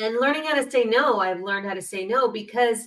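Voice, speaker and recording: This woman has a fairly high pitch. Her intonation is lively. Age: 50s. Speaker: podcast host, spiritual healer. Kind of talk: casual chat.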